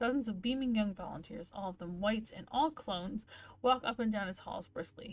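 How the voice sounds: Here the reading voice is natural. The pitch varies an ordinary amount.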